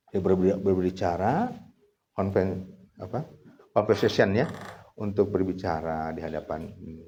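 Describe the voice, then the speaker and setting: With audible room echo, a man talks in a very deep, low pitch, his dark, mellow tone carried by fairly even intonation. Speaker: Islamic scholar teaching trainee clerics. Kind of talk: lecture. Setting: outdoor gathering at fish-pond huts. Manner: casual, mixing Sundanese and Indonesian.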